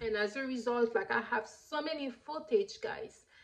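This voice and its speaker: Fairly even intonation from a woman, with noticeable noise in the background. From Haiti. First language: Haitian Creole. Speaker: YouTuber. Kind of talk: personal motivational talk. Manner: halting.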